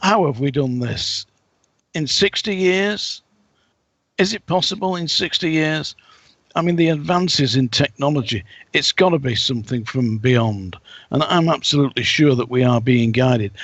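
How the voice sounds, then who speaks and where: A man with an English accent, fairly high in pitch, lively in intonation, at a moderate pace. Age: 60s. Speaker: psychic and ex-soldier. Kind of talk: casual interview talk.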